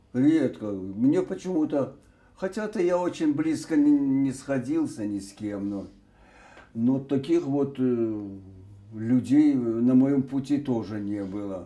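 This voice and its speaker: Speaking very slowly, a man uses a medium pitch and a dark, mellow tone. His intonation is lively, broken by long, frequent pauses. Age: 80s+. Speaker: retired TV announcer. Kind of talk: interview. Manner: halting, with many hesitations.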